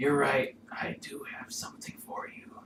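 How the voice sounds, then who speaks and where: A man whispers in a raspy, put-on character voice. He keeps a moderate pace. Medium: actual play. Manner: faint, halting.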